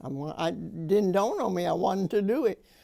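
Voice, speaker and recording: Her Arkansas accent comes through as a woman talks in a dark, mellow tone with lively intonation. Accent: Southern US (Arkansas). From US South, Arkansas (small town near Conway). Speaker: storyteller recalling her life. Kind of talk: oral history storytelling.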